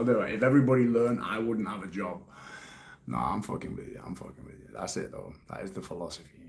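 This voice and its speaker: With a British accent, a man talks at a very fast pace and a fairly low pitch, using lively intonation and big swings in loudness, amid noticeable background noise and audible room echo. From UK. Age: 30s. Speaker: life coach. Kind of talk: live stream Q&A. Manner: casual, swearing-laden.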